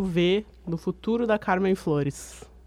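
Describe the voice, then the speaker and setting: A woman speaks at a fairly low pitch with ordinary pitch variation. It is a normal speaking voice. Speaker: student journalist, interviewer. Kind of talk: radio interview hosting.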